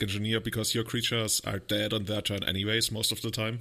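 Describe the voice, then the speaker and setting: Bright, sharp speech at a fairly quick pace in a German accent, on a very clean recording with a silent background. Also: man. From Germany. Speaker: podcast host. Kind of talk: casual chat.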